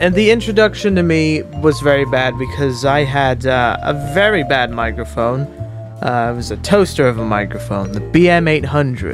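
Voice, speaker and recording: Clear music plays behind a man who talks at a moderate pace. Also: dry sound with no echo. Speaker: gaming video creator. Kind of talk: casual commentary. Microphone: studio mic.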